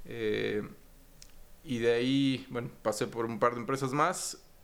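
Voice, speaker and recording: Fairly slow delivery with ordinary pitch variation. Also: man. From Mexico City. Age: 40s. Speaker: finance executive. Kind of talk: interview. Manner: halting, repeats words.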